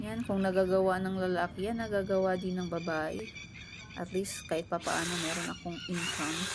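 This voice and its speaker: Noticeable background noise and audible room echo around a woman's moderately paced speech. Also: medium pitch for a woman, ordinary pitch variation. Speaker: vlogger. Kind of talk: vlog voice-over. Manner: casual.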